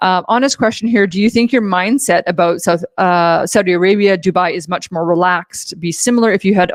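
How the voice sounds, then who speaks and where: In a plain, everyday voice, a woman with a Canadian accent talks at medium pitch with ordinary pitch variation, the sound dry and close with no echo on a very clean recording with a silent background. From Canada. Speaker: live-stream host. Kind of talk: casual chat. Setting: live stream with chat.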